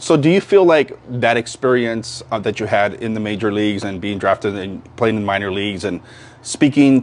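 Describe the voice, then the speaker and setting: A man with a fairly low pitch talks at a moderate pace. His pitch varies in an ordinary way, and noticeable background noise is present. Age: 60s. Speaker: local community page host, interviewer. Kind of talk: casual interview.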